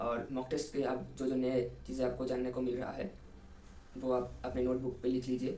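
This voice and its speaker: Audible room echo surrounds a man who speaks at a medium pitch with a Bengali accent. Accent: Bengali-accented Hindi. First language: Bengali (speaking Hindi). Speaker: engineering student, exam topper. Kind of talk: interview, study advice. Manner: halting, many fillers.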